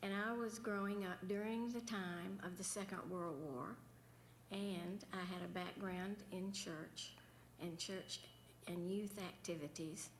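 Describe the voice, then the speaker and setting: A woman's medium-pitched voice in a Southern US accent, fairly slow and fairly even in intonation, with audible room echo. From central Florida, Sanford. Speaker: former governor's wife. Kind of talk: panel remarks.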